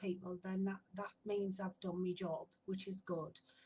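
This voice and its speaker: The speaker has a northern English accent and a relaxed, somewhat breathy tone. The pace is fairly slow. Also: woman. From northern England. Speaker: spiritual medium and sound healer. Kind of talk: casual self-introduction to camera. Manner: relaxed, hesitant with fillers.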